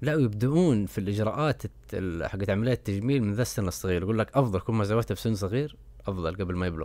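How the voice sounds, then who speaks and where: A man's fairly low-pitched voice with a dark, mellow tone, lively intonation and a very fast pace. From Saudi Arabia. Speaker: podcast host. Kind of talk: casual solo commentary.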